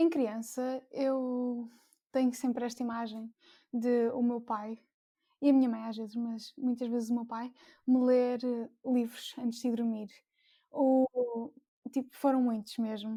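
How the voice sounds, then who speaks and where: A woman speaks at a fairly slow pace in a dark, mellow tone, her intonation monotone and flat, with long, frequent pauses. The recording is very clean, with a silent background. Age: 20s. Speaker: book blogger, engineering student. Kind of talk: casual podcast chat.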